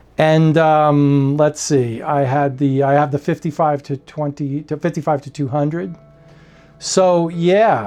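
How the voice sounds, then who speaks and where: A man with a fairly high voice speaks at a fairly slow pace, his pitch varying in an ordinary way, with music playing behind him. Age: 60s. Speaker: photography YouTuber. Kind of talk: casual vlog talk. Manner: halting, many fillers and restarts.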